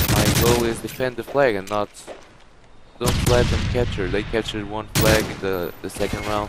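Over noticeable background noise, a man with a fairly low voice speaks at a moderate pace. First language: Portuguese. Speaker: gaming YouTuber. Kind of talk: gameplay commentary. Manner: halting.

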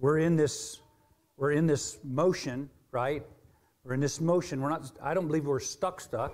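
This man talks at a moderate pace. His intonation stays fairly even. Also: quiet background. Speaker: preacher. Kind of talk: sermon. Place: church.

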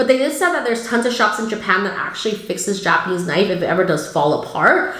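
In audible room echo, a woman speaks at a very fast pace with ordinary pitch variation. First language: not English. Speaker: cooking YouTuber. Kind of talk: haul video talk. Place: home room.

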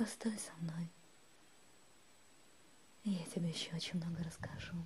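Over noticeable background noise, a woman talks at a fairly low pitch with fairly even intonation. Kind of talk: ASMR relaxation monologue. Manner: whispered, soothing.

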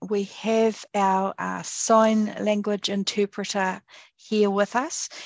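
At a very slow pace, a woman with a New Zealand accent speaks in a medium pitch with a warm tone. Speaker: select committee chair. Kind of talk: formal hearing, chairing. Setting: video call. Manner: warm and friendly.

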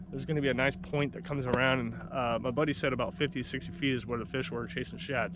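A man talks at a fairly quick pace over noticeable background noise, with a dry sound and no echo. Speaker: fishing vlogger. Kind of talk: casual vlog chat. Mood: relaxed, upbeat. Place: boat. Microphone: phone near.

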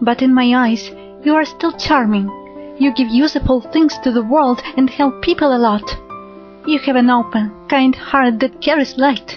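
A woman with a high pitch, ordinary pitch variation, very even loudness and a moderate pace, with music in the background. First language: not English. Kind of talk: love poetry reading.

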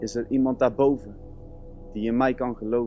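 Faint music plays behind a man who speaks at a fairly slow pace in monotone, flat intonation, with a dry sound and no echo. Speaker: music student. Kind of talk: spoken word performance. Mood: earnest, emotional. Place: stage.

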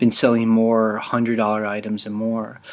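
At a moderate pace, a man is talking. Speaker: podcast co-host. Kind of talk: casual podcast chat. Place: home room.

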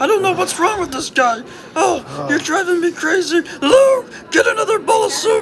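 A cartoonish character voice at an extremely high pitch and moderate pace, over clear background noise. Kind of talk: comic overacting. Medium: puppet show. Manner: fussy, defensive, exasperated.

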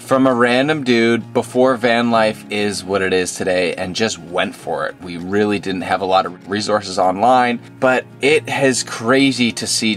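With faint music in the background, a man talks at a fairly slow pace with ordinary pitch variation. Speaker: van life vlogger. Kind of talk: casual vlog chat. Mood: nostalgic, light laughter. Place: car. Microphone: phone near.

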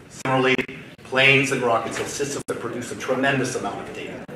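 A man's voice over noticeable background noise. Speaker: state government aerospace official. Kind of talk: conference welcome speech. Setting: stage with audience. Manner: formal. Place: hall. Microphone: podium.

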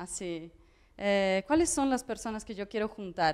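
A woman with a Portuguese accent against a quiet background. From central Brazil, near Brasília. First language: Portuguese (speaking Spanish). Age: 30s. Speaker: artist, curator and educator; educator. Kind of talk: public talk. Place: home room. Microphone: handheld.

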